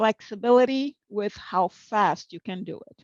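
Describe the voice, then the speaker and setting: A woman uses an ordinary speaking voice at medium pitch with ordinary pitch variation, recorded with a dry, close sound with no echo over a quiet background. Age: 60s. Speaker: professional interpreter and conference speaker. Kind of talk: conference talk.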